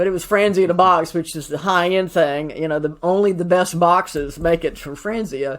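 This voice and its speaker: Hardly any pauses break up this fairly quick delivery. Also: woman, fairly low pitch for a woman, fairly even intonation. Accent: Southern US. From US South, Atlanta. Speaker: CPA and accounting advisor. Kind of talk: podcast interview.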